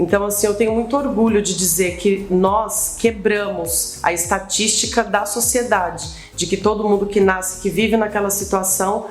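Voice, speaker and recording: A woman's medium-pitched voice at a moderate pace, monotone and flat, with noticeable background noise and audible room echo. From Brazil, Bahia, raised in São Paulo. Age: 30s. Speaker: social entrepreneur. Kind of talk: interview, personal life story.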